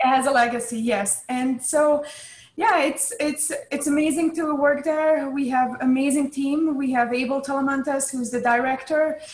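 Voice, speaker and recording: A woman with a Hungarian accent speaks at a moderate pace in a high pitch, her intonation fairly even. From Hungary. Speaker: chess club staff. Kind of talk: interview.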